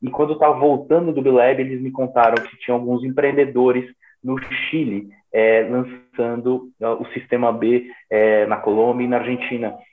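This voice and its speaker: A man uses an unremarkable speaking voice with a medium pitch. He talks at a moderate pace, his intonation fairly even. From São Paulo, Brazil. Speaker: social entrepreneur. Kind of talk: interview.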